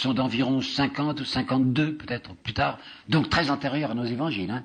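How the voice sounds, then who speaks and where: The speaker is a man with a medium pitch. His pitch varies in an ordinary way, and his pace is fairly quick. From France. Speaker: historian and lecturer. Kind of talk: public lecture.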